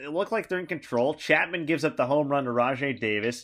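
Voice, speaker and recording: On a very clean recording with a silent background, a man talks with lively intonation. He has an ordinary speaking voice. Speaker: sports broadcaster, interviewer. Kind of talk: interview questions.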